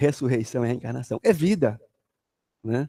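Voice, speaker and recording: Sing-song in delivery, a man speaks at a fairly quick pace. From Brazil, Jequitinhonha Valley (Minas Gerais, near Bahia). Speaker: spiritist lecturer. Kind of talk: religious study talk. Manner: sing-song intonation.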